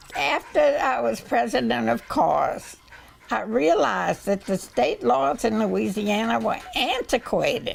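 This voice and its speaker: With an American accent, a woman talks at a fairly slow pace over noticeable background noise. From US South. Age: 80s+. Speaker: animal welfare activist. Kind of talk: interview.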